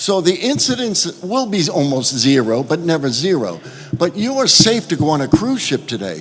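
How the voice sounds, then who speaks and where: A man with a New York accent speaks with very wide pitch swings over noticeable background noise. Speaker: cruise line executive. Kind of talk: panel statement at roundtable.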